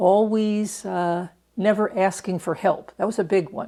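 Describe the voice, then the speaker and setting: A woman speaks at a medium pitch with fairly even intonation in a plain, everyday voice. The recording is very clean, with a silent background. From New York, Catskill Mountains. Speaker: retired prison doctor. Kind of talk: oral history interview. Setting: interview in Reno.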